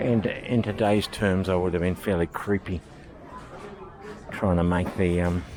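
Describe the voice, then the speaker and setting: A man with an Australian accent speaks very deep and low, with fairly even intonation and very even loudness. Long, frequent pauses break his speech over noticeable background noise. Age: 60s. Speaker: vlogger. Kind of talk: casual vlog monologue. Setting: walking around a supermarket. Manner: halting.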